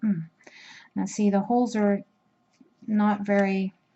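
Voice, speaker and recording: The woman's voice is somewhat breathy. It sits at a medium pitch. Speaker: crochet instructor. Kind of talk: tutorial. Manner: slow; casual, with hesitations.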